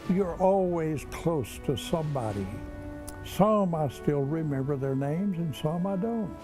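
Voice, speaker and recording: A man with a fairly high pitch speaks at a fairly slow pace with lively intonation, with audible room echo and music playing in the background. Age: 80s+. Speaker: war veteran. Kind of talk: testimony.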